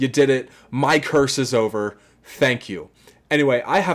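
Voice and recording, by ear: Text read aloud in a natural voice, with ordinary shifts in pitch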